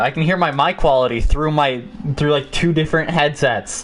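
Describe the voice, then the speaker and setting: A man with a fairly high pitch talks at a moderate pace, his intonation fairly even and his loudness very even. Noticeable background noise is present. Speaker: podcast host. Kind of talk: casual chat. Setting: live stream. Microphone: echo from feedback loop.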